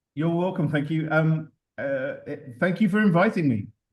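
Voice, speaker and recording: A man speaks at a fairly quick pace. He has a London accent. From London, England. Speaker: dive operator and TV producer. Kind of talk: presentation. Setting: video call.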